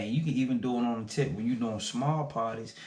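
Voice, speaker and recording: A man is speaking here. There is audible echo from the room. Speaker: small business owner, vlogger. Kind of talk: casual vlog talk to camera. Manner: fast.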